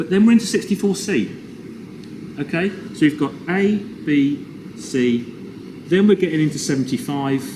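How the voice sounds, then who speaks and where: A man's fairly high voice with lively intonation and long, frequent pauses, over noticeable background noise. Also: moderate pace. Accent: English. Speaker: toy collector. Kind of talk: casual chat. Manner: loud; animated.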